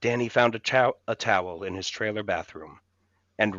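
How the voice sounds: Quiet surroundings behind a natural reading voice.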